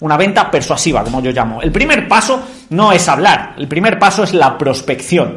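Amid noticeable background noise, the speaker talks at a fairly quick pace in an animated tone with lively intonation. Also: man. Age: 30s. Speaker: sales trainer. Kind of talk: online masterclass. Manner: fast.

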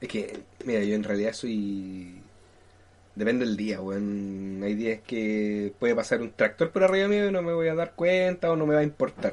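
With a Chilean accent, a man talks at medium pitch and a moderate pace, his pitch swinging very widely. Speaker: podcast co-host. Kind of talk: casual chat.

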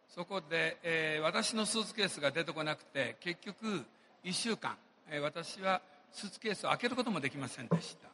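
Here a man talks at a high pitch with lively intonation. His loudness swings widely. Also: fairly quick pace. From Japan. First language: Japanese (speaking Portuguese). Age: 60s. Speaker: businessman. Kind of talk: motivational speech. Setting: stage with audience.

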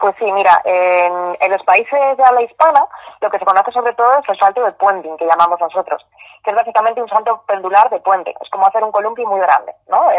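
A woman speaks at a fairly quick pace in an ordinary speaking voice, her medium pitch moving with ordinary variation, the sound dry and close with no echo. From Madrid, Spain. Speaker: bungee jumping company owner. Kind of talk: interview.

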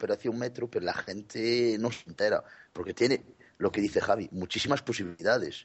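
Medium pitch from a male speaker, fairly quick in pace and ordinary in pitch variation. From Galicia, Spain. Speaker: gaming podcast contributor. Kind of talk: casual chat.

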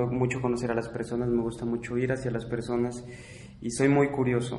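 A man's voice with audible room echo. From Mexico. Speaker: exchange student. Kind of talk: interview testimony.

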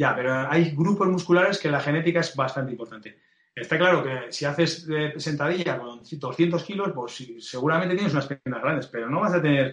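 This man's pitch shows ordinary variation. His pace is moderate. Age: 40s. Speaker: fitness coach and blogger. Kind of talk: interview. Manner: hesitant with fillers.

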